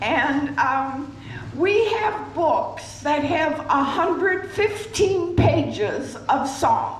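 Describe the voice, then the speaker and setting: Amid noticeable background noise and audible room echo, a woman with an extremely high voice speaks at a very slow pace with lively intonation and very even loudness. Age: 80s+. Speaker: resident leading a sing-along. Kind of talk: announcement to audience.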